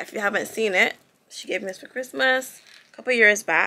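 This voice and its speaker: A bright, sharp tone with a Barbadian accent, on a very clean recording with a silent background. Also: woman. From Barbados. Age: 30s. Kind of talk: casual vlog talk, opening gifts.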